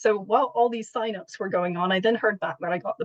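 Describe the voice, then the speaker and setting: A woman with an ordinary speaking voice talks at a fairly quick pace in an American accent, with a fairly high pitch and ordinary pitch variation, in a dry, close sound with no echo. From United States. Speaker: patient and charity fundraiser. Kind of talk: interview.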